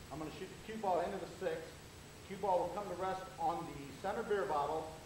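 A man talks at a fairly quick pace with a high pitch and ordinary pitch variation, amid noticeable background noise and audible room echo. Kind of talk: demonstration commentary. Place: hall. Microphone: old recording.

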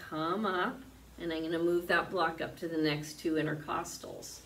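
Over light background noise, a woman speaks at a fairly low pitch. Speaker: yoga teacher. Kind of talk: guided yoga class instruction. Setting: video class recorded for online channel. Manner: calm, soothing, unhurried; clear, instructive, gently encouraging. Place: home room. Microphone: camera far.

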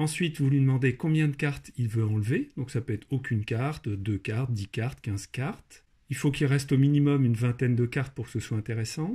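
A man talks fairly quickly at a medium pitch, somewhat breathy, with a dark, mellow tone and ordinary pitch variation. The recording is very clean with a silent background. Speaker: maths and programming teacher. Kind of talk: tutorial narration.

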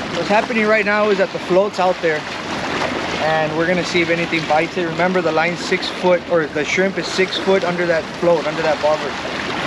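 At a fairly quick pace, a man speaks with a dry sound with no echo over loud background noise. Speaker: fishing vlogger. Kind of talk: casual vlog chat. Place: waterside. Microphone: phone near.

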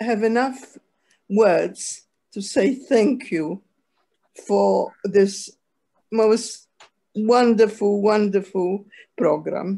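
Her tone is dark and mellow, and her pitch fairly high. The woman talks at a very slow pace. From Poland. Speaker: Holocaust survivor. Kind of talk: testimony. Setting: video call. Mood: moved, grateful. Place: home room. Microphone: video call.

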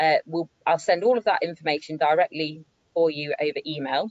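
At a moderate pace, this is an unremarkable speaking voice with ordinary pitch variation and a dry sound with no echo. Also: woman, quiet background. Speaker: webinar moderator. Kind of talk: webinar Q&A moderation. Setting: video call. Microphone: video call.

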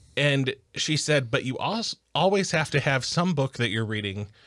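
Speaking at a moderate pace, a man is heard over a quiet background. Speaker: podcast co-host. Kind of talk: casual podcast discussion. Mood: relaxed, slightly defensive. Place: studio. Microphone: studio mic.

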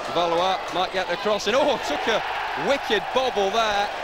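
The sound is dry with no echo, set against loud background noise. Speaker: football commentator. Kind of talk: live football commentary.

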